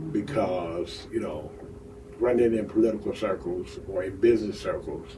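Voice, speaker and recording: A man talks at a moderate pace, his voice carrying audible room echo. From Detroit, Michigan, US. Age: 60s. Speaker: union official and local political leader. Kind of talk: casual interview chat. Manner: halting.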